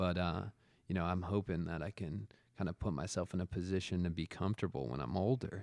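A man speaks at a very fast pace. His voice is very deep and low, with vocal fry. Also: ordinary pitch variation, dry, close sound with no echo. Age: 30s. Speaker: podcaster in addiction recovery. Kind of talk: casual chat.

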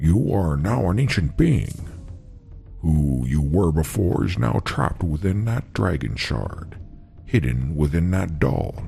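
A man's put-on character voice, very deep and fairly slow, with clear music in the background. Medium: solo performance. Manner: terse, deadpan.

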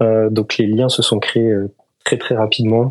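Flat and monotone, a man speaks at a moderate pace and a fairly low pitch. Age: 20s. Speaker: engineering student and pilot. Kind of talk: interview.

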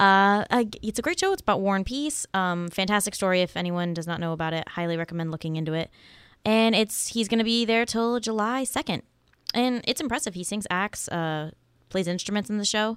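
A woman with a normal speaking voice at a medium pitch, ordinary pitch variation, on a very clean recording with a silent background. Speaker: podcast co-host, college student. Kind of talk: casual chat.

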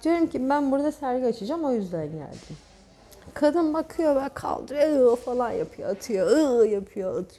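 Her voice is high-pitched, with a dark, mellow tone. The woman speaks at a moderate pace with lively intonation. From Turkey, Çanakkale region (childhood on Gökçeada). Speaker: painter. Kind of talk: casual chat. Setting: cafe / inn venue.

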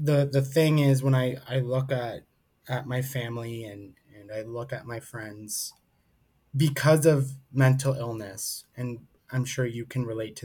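The man's voice sits at a medium pitch and is somewhat breathy. He speaks at a fairly slow pace. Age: 30s. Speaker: mental health speaker and advocate. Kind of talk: interview.

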